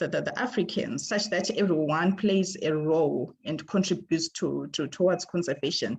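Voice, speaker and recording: A woman's somewhat breathy, fairly low-pitched voice at a moderate pace, with ordinary pitch variation and hardly any pauses. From Zimbabwe. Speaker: ecologist. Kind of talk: presentation. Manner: halting, many fillers.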